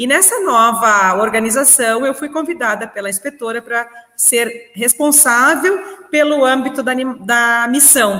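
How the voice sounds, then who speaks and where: A woman with a gaúcho accent speaks fairly slowly in a high pitch with ordinary pitch variation. Noticeable background noise runs behind her. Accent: gaúcho southern Brazilian. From southern Brazil, Rio Grande do Sul. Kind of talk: podcast interview. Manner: energetic.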